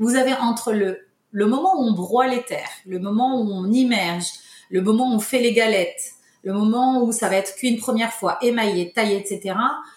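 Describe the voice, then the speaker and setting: With ordinary pitch variation, a woman keeps a moderate pace and a fairly high pitch. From Morocco, Casablanca. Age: 50s. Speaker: tile company owner. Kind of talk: interview. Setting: remote recording. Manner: halting.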